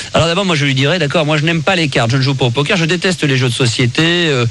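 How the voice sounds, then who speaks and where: A man's fairly high voice at a very fast pace, with ordinary pitch variation, over noticeable background noise. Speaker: radio host. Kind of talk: late-night radio monologue. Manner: confiding, conversational.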